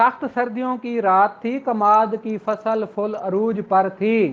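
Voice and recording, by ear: Slow and fairly even in intonation, a man talks with a high pitch.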